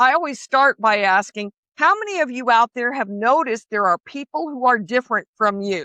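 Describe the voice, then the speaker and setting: A woman with an unremarkable speaking voice talks at a moderate pace, her fairly high pitch moving in lively intonation. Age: 60s. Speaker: author and speaker. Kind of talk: interview.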